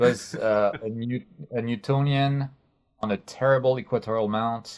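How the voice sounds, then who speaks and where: At a moderate pace, a man speaks in a medium pitch with fairly even intonation. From France. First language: French. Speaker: astrophotography YouTuber. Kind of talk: interview. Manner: halting.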